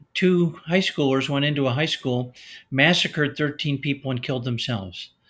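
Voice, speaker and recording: A man speaks with a Chicago accent at a fairly high pitch. The recording is very clean, with a silent background. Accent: Chicago American. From US Midwest, Chicago. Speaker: retired pediatrician and author. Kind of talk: interview.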